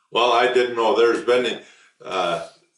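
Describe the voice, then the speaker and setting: Speech from a man amid audible room echo, with music playing behind. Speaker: war veteran. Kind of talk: oral history interview. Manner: hesitant, with frequent fillers.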